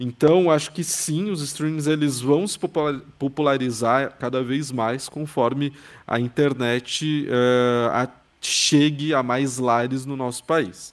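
Very slowly, a man speaks at medium pitch with fairly even intonation. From São Paulo, Brazil. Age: 20s. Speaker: journalist and podcast specialist. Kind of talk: interview conversation.

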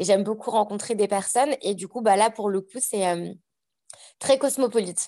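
At a fairly quick pace, a woman with a normal speaking voice talks in a fairly high pitch with fairly even intonation. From France, Savoie (Annecy). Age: 30s. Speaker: podcaster. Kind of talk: casual chat.

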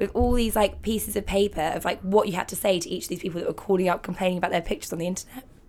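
Very fast, animated speech in an English accent. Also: woman. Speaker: care startup founder. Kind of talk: interview. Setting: studio.

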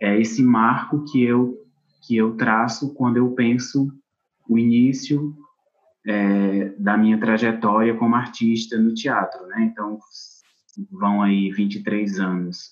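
Using long, frequent pauses, a man at a medium pitch talks at a very slow pace. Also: fairly even intonation. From Brazil, Ceará interior (Acopiara). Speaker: actor and theatre teacher. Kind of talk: interview conversation.

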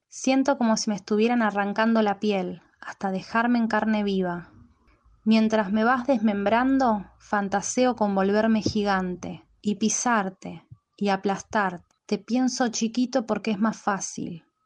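Here a woman talks at a fairly slow pace in an ordinary speaking voice, pitched fairly high. Her loudness stays very even and her intonation fairly even. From Buenos Aires, Argentina. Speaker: poet. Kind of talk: poetry reading; casual self-introduction.

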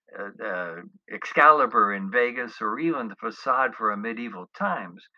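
The text is read aloud. It sounds natural.

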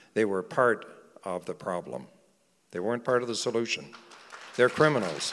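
A man's medium pitch with a Canadian accent and vocal fry, at a moderate pace with long, frequent pauses. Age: 70s. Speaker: veteran journalist. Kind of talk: live talk on stage. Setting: stage, church.

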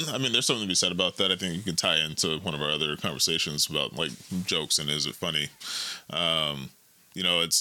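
Talking at a very fast pace, a man with a very deep, low pitch and a bright, sharp tone shows ordinary pitch variation. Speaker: co-host / guest in conversation. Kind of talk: casual conversation.

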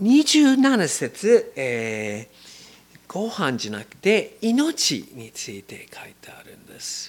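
Speaking very slowly with an English accent, a man's voice shows big swings in loudness. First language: English (speaking Japanese). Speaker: missionary preacher. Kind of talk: sermon. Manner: halting, many fillers.

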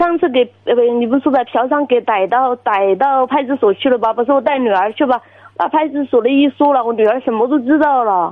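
At a fairly quick pace, a woman with a high pitch speaks with very even loudness and ordinary pitch variation. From Guizhou, China. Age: 30s. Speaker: caller. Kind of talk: phone-in advice call. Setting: phone call.

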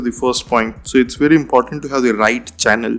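Music plays in the background as a man with an Indian accent speaks at medium pitch with fairly even intonation. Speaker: head of growth in digital marketing. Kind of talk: podcast interview. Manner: hesitant with frequent fillers.

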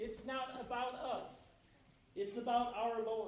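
In a room with audible echo, a man talks at a fairly slow pace with an extremely high pitch. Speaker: lay preacher. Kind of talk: sermon. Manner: halting.

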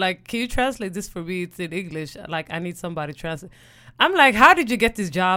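A very fast, animated voice with a Swedish accent, in a very clean recording with a silent background. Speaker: podcast co-host. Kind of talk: casual chat.

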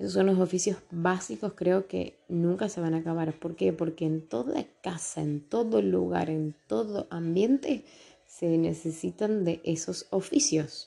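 A woman's fairly low, dark and mellow voice, fairly slow, with lively intonation. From Argentina, Tucumán. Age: 30s. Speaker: podcaster. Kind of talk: personal monologue podcast. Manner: casual, with hesitations and repetitions.

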